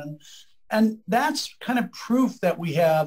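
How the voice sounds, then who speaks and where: This man speaks. He has a Midwestern American accent. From US Midwest, Lima Ohio. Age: 70s. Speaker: economist and professor. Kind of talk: interview conversation.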